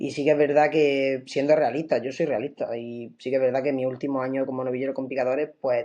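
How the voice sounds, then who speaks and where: Dark and mellow in tone, a man talks at a very fast pace with hardly any pauses. His intonation is monotone and flat. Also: medium pitch for a man. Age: 20s. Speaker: bullfighter. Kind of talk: interview.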